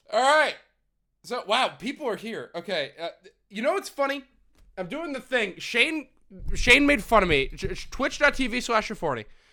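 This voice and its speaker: A raised, projected male voice of extremely high pitch and bright, sharp tone, with very wide pitch swings, big swings in loudness, long, frequent pauses, and a very clean recording with a silent background. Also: moderate pace. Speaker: streamer. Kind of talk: casual live stream chat. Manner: rambling, lots of fillers.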